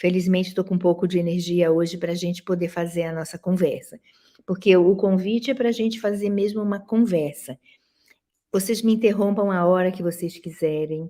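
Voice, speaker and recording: A woman speaks at a moderate pace with medium pitch. Her tone is dark and mellow, and her intonation is fairly even. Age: 70s. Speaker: professor and dance critic. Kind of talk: lecture.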